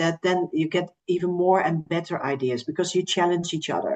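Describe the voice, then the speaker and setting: A woman's medium-pitched voice with a Dutch accent. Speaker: recruitment agency representative. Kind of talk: podcast interview.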